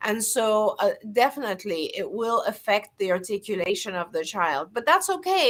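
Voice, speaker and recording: Speaking at a moderate pace, a woman with a fairly high pitch talks in a non-native accent. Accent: foreign. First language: not English. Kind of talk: interview answering viewer questions.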